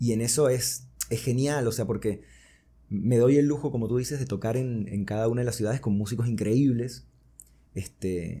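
A man's voice sits at medium pitch, with a dark, mellow tone and some breathiness. He keeps a moderate pace and fairly even intonation on a very clean recording with a silent background. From Venezuela (Caracas), born in Buenos Aires. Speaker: singer-songwriter and music producer. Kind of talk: interview conversation.

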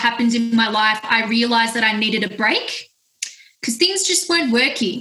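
A woman speaks at a high pitch with an Australian accent. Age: 20s. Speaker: music platform founder. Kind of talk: casual interview. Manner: animated.

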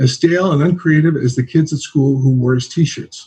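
With an American accent, a man speaks at a moderate pace and a fairly high pitch. His tone is dark and mellow, and somewhat breathy. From New Jersey. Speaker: singer-songwriter. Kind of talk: reading aloud.

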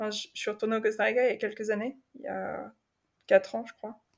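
The speaker is a woman with a fairly high pitch. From Paris region, France. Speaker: semi-nomadic traveller. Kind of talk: interview testimony. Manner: halting, many repetitions and fillers.

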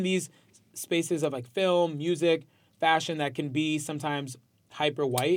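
A man speaks at a fairly high pitch with a New York accent. The recording is very clean, with a silent background. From New York, Westchester County. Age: 20s. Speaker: musician and social media personality. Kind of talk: casual interview chat.

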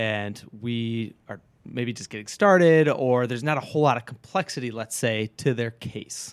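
A man with an American accent and an ordinary speaking voice, medium in pitch, with big swings in loudness and hardly any pauses. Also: ordinary pitch variation, moderate pace. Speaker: financial advisor. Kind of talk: casual chat. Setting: studio.

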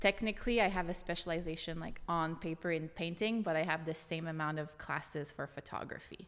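A woman with a Franco-Ontarian accent speaks in a fairly low pitch at a fairly quick pace, with fairly even intonation and hardly any pauses. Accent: Franco-Ontarian Canadian English. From eastern Ontario, Franco-Ontarian small town. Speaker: brand designer. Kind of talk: casual interview chat. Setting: studio.

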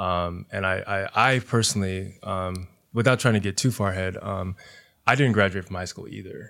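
Fairly even intonation carries a bright, sharp tone at a moderate pace. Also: man, fairly low pitch for a man, big swings in loudness, very clean recording, silent background. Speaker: high school teacher and DJ. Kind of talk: casual chat.

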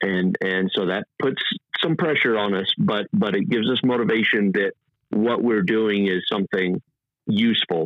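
With a Texan accent, a man speaks at a moderate pace and fairly low pitch, his loudness very even and his pitch varying in an ordinary way. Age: 30s. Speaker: off-road racer and oil industry worker. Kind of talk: casual interview.

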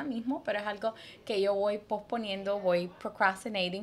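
This is a woman speaking. Her pace is moderate. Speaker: podcast co-host, therapy services. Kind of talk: casual chat. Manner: code-switching Spanglish.

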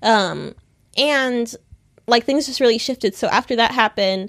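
A woman with an American accent talks at a moderate pace with ordinary pitch variation. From United States. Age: 20s. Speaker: activist. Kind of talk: interview conversation. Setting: hotel room. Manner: hesitant with many fillers.

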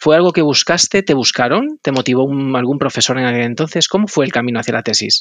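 Talking at a very fast pace, a man barely pauses. His pitch is fairly high. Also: ordinary pitch variation. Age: 40s. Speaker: podcast host. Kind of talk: interview conversation; scripted narration.

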